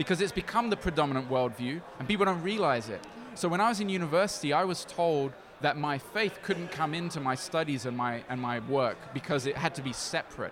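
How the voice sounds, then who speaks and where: A fairly high-pitched man at a fairly quick pace over noticeable background noise. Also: lively intonation. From Brazil. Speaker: missionary organization leader. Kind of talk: interview. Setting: recorded at a conference in Dubai.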